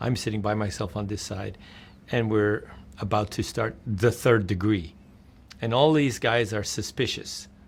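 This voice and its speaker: Speaking at a moderate pace with an American accent, a man of medium pitch is heard in a very clean recording with a silent background. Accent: sounds American. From Netherlands, later New York City. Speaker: game publisher. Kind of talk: interview storytelling. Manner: animated; simple, clear English.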